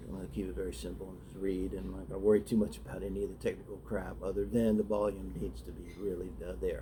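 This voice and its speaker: A man talks at a very fast pace in a very deep, low pitch, with vocal fry and a dark, mellow tone. His pitch swings very widely, and audible room echo surrounds him. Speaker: writer reading own short story. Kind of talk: casual talk then reading aloud. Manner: soft-spoken; halting, many fillers.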